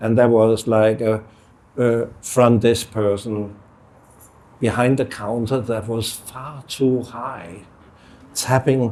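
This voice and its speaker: With a Danish accent, a man speaks very slowly at a medium pitch, using long, frequent pauses, monotone, flat intonation and a dark, mellow tone. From Denmark. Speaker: artist. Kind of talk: panel conversation.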